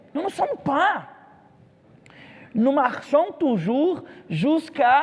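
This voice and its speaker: A man with a Brazilian accent, talking at a very slow pace. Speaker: pastor. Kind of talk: sermon. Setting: church. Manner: halting.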